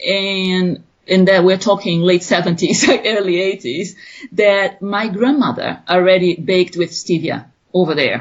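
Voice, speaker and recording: Medium-pitched woman's voice in a Brazilian Portuguese accent, with ordinary pitch variation. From Brazil (Rio de Janeiro). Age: 40s. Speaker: business founder. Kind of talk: interview. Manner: halting.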